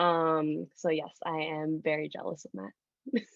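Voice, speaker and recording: This voice belongs to a woman with a Spanish accent. She pitches her speech fairly low. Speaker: social media manager at a music label. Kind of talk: panel discussion. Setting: video call.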